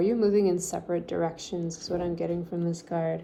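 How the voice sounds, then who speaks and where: A woman speaks with a fairly low pitch. Room echo can be heard. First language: French. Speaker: tarot reader. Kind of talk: tarot reading. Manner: animated.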